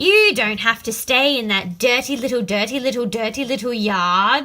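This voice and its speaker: A woman speaks in a put-on character voice, fairly high in pitch, at a moderate pace. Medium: read story. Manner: fast, repeats words.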